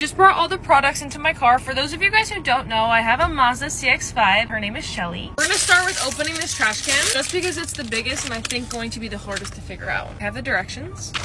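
Talking at a very fast pace with hardly any pauses, a woman is heard in a dry sound with no echo, with noticeable background noise. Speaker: content creator. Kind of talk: casual vlog chat. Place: car. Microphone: phone near.

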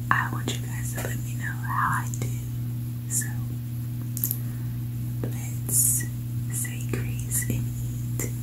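A woman speaks at a very slow pace with long, frequent pauses over noticeable background noise. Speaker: food vlogger. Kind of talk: ASMR eating video talk to camera. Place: home room.

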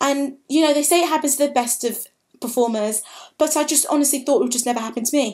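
Against a quiet background, a woman with a high-pitched voice speaks at a very fast pace with ordinary pitch variation. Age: 20s. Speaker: vlogger, drama school applicant; drama school applicant vlogger. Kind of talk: personal vlog monologue. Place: home room. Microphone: webcam.

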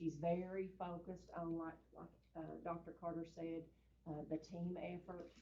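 The voice has a dark, mellow tone with an Eastern Kentucky accent. Its intonation is flat and monotone, and the pace is fairly slow. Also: woman, fairly low pitch for a woman. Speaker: school superintendent. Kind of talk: speech at public meeting. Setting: school board meeting with audience. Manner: casual, folksy.

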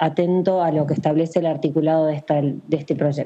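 Against a quiet background, a woman speaks in a fairly low pitch with a dark, mellow tone. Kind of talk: parliamentary speech. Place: home room. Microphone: video call.

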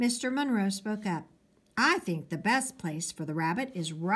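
The speech comes in an unforced reading voice with lively intonation.

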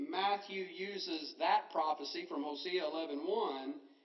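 Against a quiet background with audible room echo, a man speaks at a high pitch with ordinary pitch variation. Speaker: preacher. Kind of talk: sermon. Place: church. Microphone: podium.

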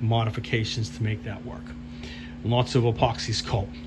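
A man delivers his words at a moderate speed while noticeable noise sounds in the background. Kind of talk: casual build vlog commentary. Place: workshop. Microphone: phone near.

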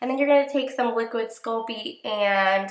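A woman speaks at a moderate pace with fairly even intonation and a fairly bright tone, her voice carrying audible room echo.

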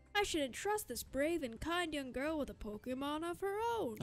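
In a put-on character voice with a high pitch, the speaker talks at a moderate pace over clear background noise. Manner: warm, kindly.

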